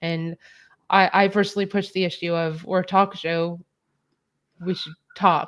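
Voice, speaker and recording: A woman talks at a moderate pace and a medium pitch, with monotone, flat intonation and long, frequent pauses. The recording is very clean, with a silent background. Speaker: talk show co-host. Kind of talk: casual chat.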